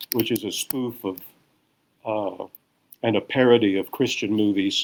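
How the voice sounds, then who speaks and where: A man talks at a moderate pace. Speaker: actor and voice narrator. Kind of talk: interview. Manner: halting, many fillers.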